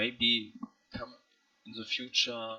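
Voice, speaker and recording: A man speaks with a non-native accent. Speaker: hobby game developer. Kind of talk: screen-recorded project walkthrough. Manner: halting, many fillers.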